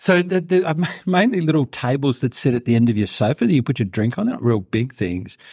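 With an Australian accent, a man talks at a very fast pace in a medium, somewhat breathy voice with very wide pitch swings, on a very clean recording with a silent background and a dry, close sound with no echo. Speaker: intensive care researcher. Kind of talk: interview about a clinical trial. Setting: studio, in person.

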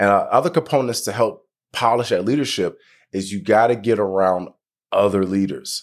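In a very clean recording with a silent background, a man with an ordinary speaking voice and medium pitch talks at a moderate pace with ordinary pitch variation. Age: 30s. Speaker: leadership speaker and insurance agent. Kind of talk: interview.

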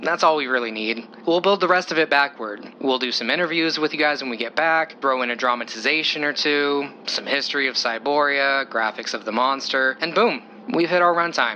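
A man speaks in a confident tone at a fairly high pitch, with hardly any pauses. Noticeable background noise runs behind him. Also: ordinary pitch variation. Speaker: TV paranormal show host, character. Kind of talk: scripted audio drama dialogue. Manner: confident, polished, persuasive.

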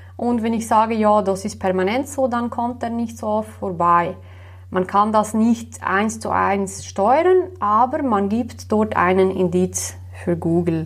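A woman with a Slovenian accent at a very slow pace. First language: Slovenian (speaking German). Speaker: web developer. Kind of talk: interview. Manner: hesitant with many fillers.

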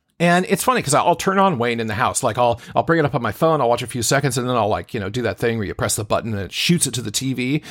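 A man with a medium-pitched voice talks at a very fast pace in an animated tone, with ordinary pitch variation, on a very clean recording with a silent background. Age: 50s. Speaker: solo podcaster. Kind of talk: casual monologue.

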